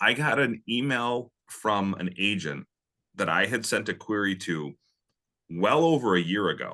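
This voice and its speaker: A man with a normal speaking voice, fairly low pitch and an American accent, at a fairly slow pace over a quiet background. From Minnesota, Minneapolis. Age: 40s. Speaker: indie mystery author. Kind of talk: interview conversation.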